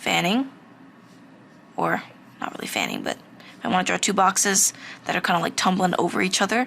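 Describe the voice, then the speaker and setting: Rather brisk delivery, with lengthy pauses coming often. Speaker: art instructor. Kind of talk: tutorial. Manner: halting, self-correcting; casual.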